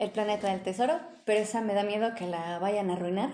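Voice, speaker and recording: Her voice has a dark, mellow tone at a medium pitch, and this woman's pitch shifts in an ordinary way. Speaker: podcast host. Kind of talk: casual chat. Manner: loud.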